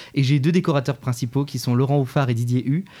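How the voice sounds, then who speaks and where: In a very clean recording with a silent background, a man speaks at a fairly quick pace in a dark, mellow tone with fairly even intonation. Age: 20s. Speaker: musical theatre student and stage director. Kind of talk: interview. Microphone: too quiet.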